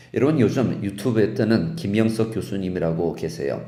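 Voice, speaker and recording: A man's voice with very wide pitch swings, audible room echo and music in the background. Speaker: pastor. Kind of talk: sermon.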